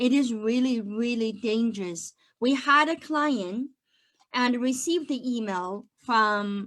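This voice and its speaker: Pitch shifts in an ordinary way while the words come at a very slow pace. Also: woman, high pitch for a woman. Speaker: accountant. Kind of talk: online webinar presentation. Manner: dynamic, lively.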